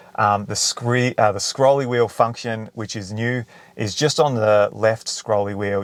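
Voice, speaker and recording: A man with an Australian accent, fairly low pitch, fairly even intonation and a moderate pace. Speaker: car video creator. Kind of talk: tutorial. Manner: casual.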